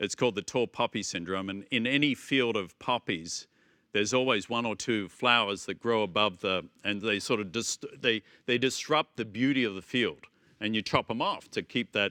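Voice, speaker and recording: Against a quiet background, a man with a bright, sharp tone and medium pitch speaks at a moderate pace with ordinary pitch variation, in a dry, close sound with no echo. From Australia, Melbourne. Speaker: business executive. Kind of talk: interview.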